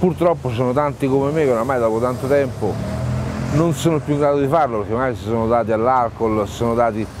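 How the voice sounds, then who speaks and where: A man at a very fast pace with ordinary pitch variation, in a dry sound with no echo and light background noise. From Rome, Italy; Italy. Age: 50s. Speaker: homeless man living in his car; interviewee. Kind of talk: testimony. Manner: halting, with many repetitions. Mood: bitter, resigned. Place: garden. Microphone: lapel.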